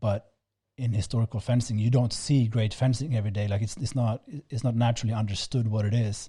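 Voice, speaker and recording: In a very clean recording with a silent background, a man speaks at a very fast pace with a non-native accent. His medium-pitched voice is somewhat breathy, with a dark, mellow tone. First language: not English. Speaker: fencing instructor, podcast co-host. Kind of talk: casual chat. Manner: halting, many repeated words.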